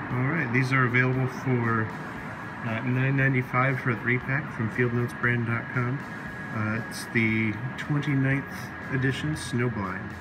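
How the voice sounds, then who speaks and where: A man talks at a very slow pace over loud background noise. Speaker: product reviewer. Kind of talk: casual unboxing commentary. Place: home room.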